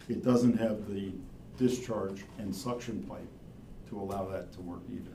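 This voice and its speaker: Over audible room echo, a man with a fairly low pitch, a dark, mellow tone and vocal fry speaks at a moderate pace, showing ordinary pitch variation and big swings in loudness. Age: 70s. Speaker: wastewater engineer or consultant. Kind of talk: public meeting presentation.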